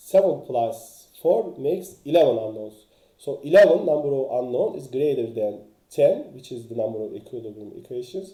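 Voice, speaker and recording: A man's dark, mellow voice rises and falls in lively intonation at a moderate pace, with audible room echo. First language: not English. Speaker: engineering author and teacher. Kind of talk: lecture. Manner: halting, many fillers.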